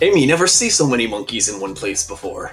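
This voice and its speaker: Over clear music in the background, a man puts on a character voice at medium pitch and a very fast pace. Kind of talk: broken, primitive speech in third person. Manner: jokey, pretend.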